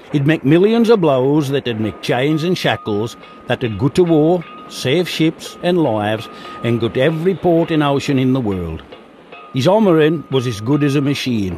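Over noticeable background noise, a man with a fairly high voice speaks at a moderate pace with lively intonation. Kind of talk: documentary narration.

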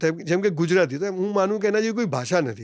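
Recorded very cleanly against a silent background, a man speaks at a high pitch with lively intonation. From Gujarat, India (Palanpur). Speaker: motivational speaker. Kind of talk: interview.

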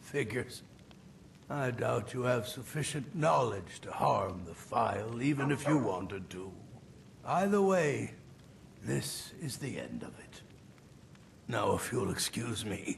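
A man at medium pitch speaks with very wide pitch swings, big swings in loudness and long, frequent pauses over clear background noise. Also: fairly slow pace. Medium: machinima. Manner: curt, dismissive.

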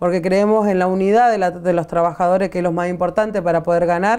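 Little sound intrudes from the background. The voice is dark and mellow, its intonation fairly level. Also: woman. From Argentina. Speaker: community organizer, workers' movement leader. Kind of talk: interview. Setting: studio. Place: studio. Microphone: lapel.

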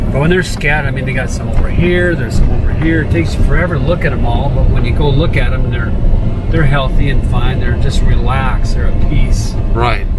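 Someone talks at a very fast pace over loud background noise, the sound dry with no echo. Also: man. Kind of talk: interview answer. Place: car. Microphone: camera far.

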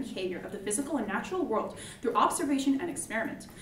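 A woman's high-pitched voice at a very fast pace, with very wide pitch swings, audible room echo and light background noise. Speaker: student debater. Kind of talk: debate speech. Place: classroom.

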